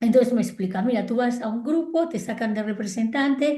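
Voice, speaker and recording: Lively intonation runs through a woman's high voice. Her tone is dark and mellow, and her pace is moderate. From Spain, Galicia. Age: 60s. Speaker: psychologist and family constellations therapist. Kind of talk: interview. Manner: animated.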